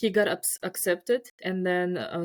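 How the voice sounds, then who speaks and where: In a Russian accent, a woman speaks fairly slowly at a medium pitch with ordinary pitch variation, captured dry and close with no echo on a very clean recording with a silent background. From Uzbekistan. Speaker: scientist. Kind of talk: casual chat. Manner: halting.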